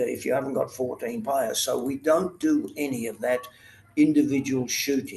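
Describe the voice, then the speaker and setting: A man with an Australian accent at a moderate pace, over noticeable background noise. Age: 80s+. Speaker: retired water polo Olympian and coach. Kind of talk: interview answer.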